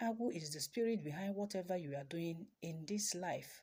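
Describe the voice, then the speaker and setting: A woman with a Nigerian accent speaks at a moderate pace in a fairly low pitch, her tone dark and mellow. Her voice is somewhat breathy, with lively intonation. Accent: Nigerian Igbo English. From Nigeria, Igbo, Awka in Anambra State. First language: Igbo. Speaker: traditional healer and spiritual teacher. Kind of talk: teaching talk.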